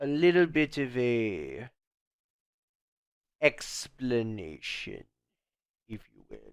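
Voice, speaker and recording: In a put-on character voice, a man of medium pitch speaks at a very slow pace with long, frequent pauses, on a very clean recording with a silent background. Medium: audio drama. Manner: polite, measured, ominous.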